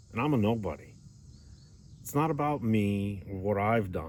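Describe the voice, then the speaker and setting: Audible room echo around lively intonation, at a fairly slow pace. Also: man. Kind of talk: Bible teaching video. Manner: slow, deliberate.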